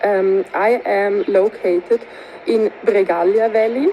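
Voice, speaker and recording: Over noticeable background noise, a woman with a Swiss German accent talks at medium pitch with ordinary pitch variation. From Switzerland, Grisons canton. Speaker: tourism researcher. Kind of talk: recorded video presentation.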